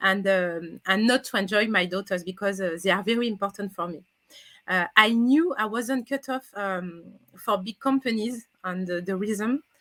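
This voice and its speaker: A woman with a French accent, a medium pitch, ordinary pitch variation and a bright, sharp tone, at a moderate pace in a dry, close sound with no echo. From France. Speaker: career coach. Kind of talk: interview. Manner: halting.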